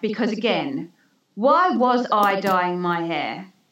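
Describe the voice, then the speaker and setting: A woman's unremarkable speaking voice, medium in pitch, with lively intonation. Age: 40s. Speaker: women's mentor and author. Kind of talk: casual interview chat.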